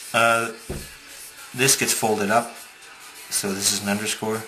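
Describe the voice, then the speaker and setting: With music in the background and audible room echo, a man mumbles in a fairly low pitch with monotone, flat intonation. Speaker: paper model designer. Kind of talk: tutorial. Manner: fast; mumbling.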